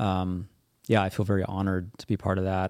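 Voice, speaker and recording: A man talks at a moderate pace in an American accent, his pitch fairly low. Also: dry, close sound with no echo, very clean recording, silent background. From US Midwest (central Kansas). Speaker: military veteran and author. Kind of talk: interview conversation.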